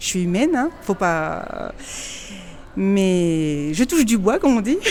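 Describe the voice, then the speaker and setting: A woman speaks at a very slow pace and medium pitch. Her pitch swings very widely. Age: 50s. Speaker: program client sharing testimony. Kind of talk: testimony interview. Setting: in person, Madrid. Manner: halting, stammering.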